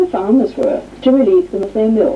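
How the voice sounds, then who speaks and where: Very wide pitch swings mark a woman's speech, with noticeable background noise present. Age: 60s. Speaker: chair of a vegan society council. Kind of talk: testimony.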